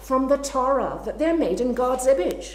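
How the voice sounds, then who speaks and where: A woman talks with a fairly high pitch. Audible room echo and noticeable background noise surround her voice. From Scotland, Glasgow. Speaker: writer and literary scholar. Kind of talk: talk and audience Q&A.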